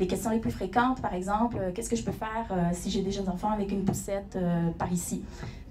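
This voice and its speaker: A woman talks very fast in a Quebec accent with fairly even intonation. Audible room echo and noticeable background noise are present. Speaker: company founder and CEO. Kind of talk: conference presentation. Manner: hesitant, many fillers.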